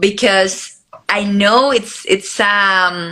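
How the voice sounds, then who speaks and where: A bright, sharp tone with fairly even intonation, in a Spanish accent. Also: woman. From Colombia. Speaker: beauty pageant contestant. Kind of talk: interview. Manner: halting.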